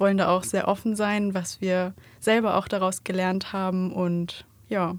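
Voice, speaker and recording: On a very clean recording with a silent background, a woman talks at a moderate pace. Her pitch is medium and her intonation monotone and flat. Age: 20s. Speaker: podcast co-host, wedding photographer. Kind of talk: casual chat. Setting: studio.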